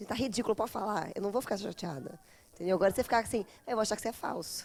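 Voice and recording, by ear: Very fast talk from a woman, medium-pitched, with ordinary pitch variation.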